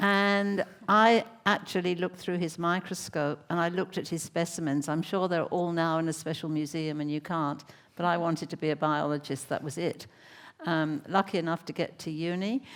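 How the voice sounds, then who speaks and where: Speaking with an English accent, a woman uses a fairly low pitch, a moderate pace and fairly even intonation. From England. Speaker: neuroscientist. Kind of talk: panel discussion.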